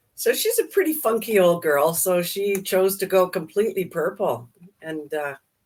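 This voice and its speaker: In an ordinary speaking voice, a woman talks at a medium pitch and moderate pace with lively intonation. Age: 60s. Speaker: daycare owner, co-host. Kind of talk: casual chat. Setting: live stream.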